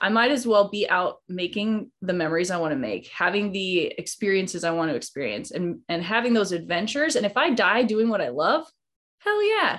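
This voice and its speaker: An unremarkable speaking voice moves at a fairly quick pace. The intonation is lively. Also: woman, medium pitch for a woman. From Idaho, rural. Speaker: hunter and online coach. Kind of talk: casual interview.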